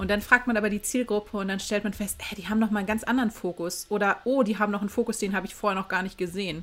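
This woman talks very fast with hardly any pauses. Her intonation stays fairly even. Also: medium pitch for a woman. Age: 30s. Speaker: graphic designer and lecturer. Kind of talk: interview.

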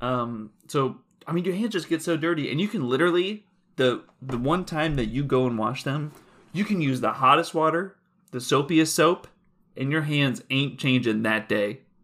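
A man speaks at a moderate pace with an ordinary speaking voice. His fairly high pitch carries lively intonation. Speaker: podcast co-host. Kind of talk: casual banter.

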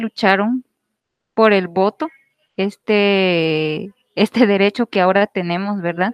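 A woman with a medium pitch and ordinary pitch variation speaks at a very slow pace in a dry, close sound with no echo. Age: 20s. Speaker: teacher. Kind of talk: panel discussion.

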